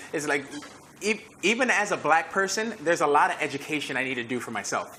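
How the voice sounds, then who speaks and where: A man's very fast, fairly high-pitched speech with lively intonation and an American accent, over noticeable background noise. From US. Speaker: fitness trainer and event host. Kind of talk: panel discussion. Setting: live stream.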